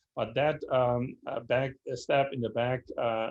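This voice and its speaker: A man with a German accent at a very slow pace, medium pitch and fairly even intonation. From Germany, Berlin. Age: 60s. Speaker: speaker on history. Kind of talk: lecture Q&A answer. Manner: halting, many fillers.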